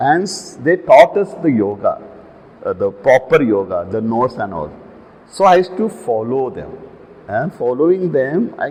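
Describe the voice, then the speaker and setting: Over noticeable background noise, a man talks at a moderate pace with very wide pitch swings. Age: 70s. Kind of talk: interview.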